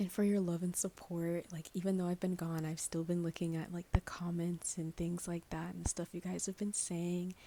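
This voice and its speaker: Soft-spoken and fairly low in pitch, a woman talks in a dark, mellow tone. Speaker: ASMR creator; nursing student. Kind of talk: casual talk to camera, Q&A.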